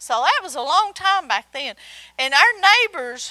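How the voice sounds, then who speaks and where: A woman projects a raised voice with a bright, sharp tone, very wide pitch swings and a fairly slow pace. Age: 60s. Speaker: Bible teacher. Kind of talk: sermon.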